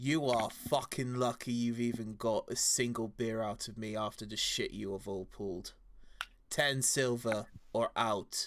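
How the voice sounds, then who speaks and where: Putting on a gruff character voice, a man speaks at medium pitch and a moderate pace. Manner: brash, gruff.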